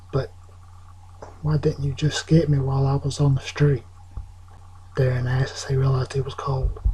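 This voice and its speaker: A man speaks softly. His intonation stays fairly even. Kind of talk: ASMR soft-spoken story reading. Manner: soft-spoken, with some stumbling over words.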